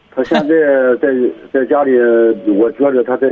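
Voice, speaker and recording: The speaker is a man. His pitch is medium. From Pingyin, Shandong. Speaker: caller, parent. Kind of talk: phone-in conversation. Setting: phone call.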